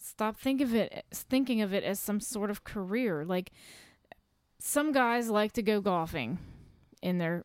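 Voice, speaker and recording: A woman's plain, everyday voice at a fairly slow pace, in a very clean recording with a silent background. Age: 30s. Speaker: podcast host's wife. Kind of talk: casual chat.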